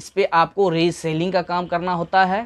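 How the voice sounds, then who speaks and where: In a quiet background, a man speaks at a high pitch. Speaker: online earnings youtuber. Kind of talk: tutorial. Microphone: lapel.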